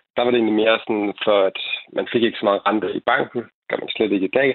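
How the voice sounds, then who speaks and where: This is a male speaker. The intonation he uses is fairly even. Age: 20s. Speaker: investing YouTuber. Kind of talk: radio panel discussion. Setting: phone call. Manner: halting.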